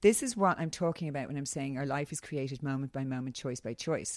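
A woman's very deep, low pitch with an Irish accent, lively intonation and a very fast pace, in a very clean recording with a silent background. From Ireland. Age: 40s. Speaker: wellness coach and former model. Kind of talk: casual interview.

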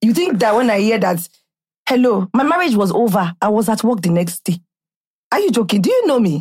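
Speaking at a fairly quick pace with a Nigerian accent, a woman sounds animated and somewhat breathy, her fairly high voice moving in lively intonation. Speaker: podcast host. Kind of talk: casual chat. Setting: studio.

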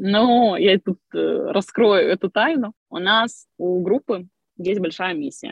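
A woman at medium pitch, very slow pace and ordinary pitch variation. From Crimea, Ukraine. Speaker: online school co-founder. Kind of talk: interview. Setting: video call from a car.

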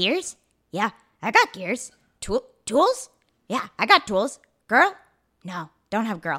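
In a put-on character voice, the speaker moves at a fairly slow pace with very wide pitch swings and long, frequent pauses. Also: female-sounding voice, fairly high pitch for a woman.

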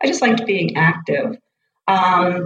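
A woman speaks with a Boston accent. Her pitch is fairly low, with ordinary variation. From South Boston, Massachusetts. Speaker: college running coach. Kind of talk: interview conversation.

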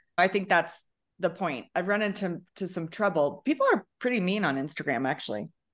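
An unremarkable speaking voice moves at a fairly quick pace. Its intonation is lively. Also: woman, medium pitch for a woman, quiet background. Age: 50s. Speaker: social media comedian. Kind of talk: casual chat.

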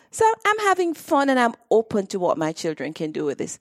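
Over a very clean recording with a silent background, a woman speaks at a moderate pace with very wide pitch swings. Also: dry, close sound with no echo. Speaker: direct sales entrepreneur. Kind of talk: interview. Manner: talkative.

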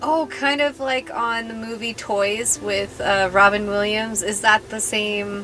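Against noticeable background noise, a woman with a fairly high pitch and ordinary pitch variation talks at a fairly slow pace with hardly any pauses. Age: 30s. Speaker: podcast host. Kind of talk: casual chat.

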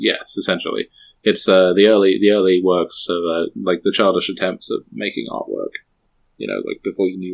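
No echo colors the sound, which is dry and close. The delivery is fairly quick. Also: man. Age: 30s. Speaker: podcast co-host. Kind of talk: casual chat.

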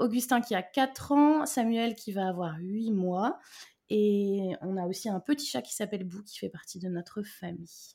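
Breathing somewhat audibly, a woman speaks at a fairly slow pace in a dark, mellow tone, with big swings in loudness. The recording is very clean, with a silent background. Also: medium pitch for a woman, lively intonation. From Brittany, France. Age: 30s. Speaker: mother and business owner. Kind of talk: casual interview chat.

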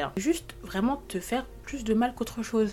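A woman speaking at a fairly quick pace. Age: 20s. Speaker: podcast host. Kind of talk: casual monologue. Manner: hesitant.

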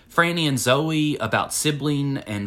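This man's voice sits fairly high, with ordinary pitch variation and a fairly slow pace. The recording is very clean, the background silent. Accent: Tennessee. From US South, Winchester, Tennessee. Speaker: author. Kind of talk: casual chat. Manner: halting, many fillers.

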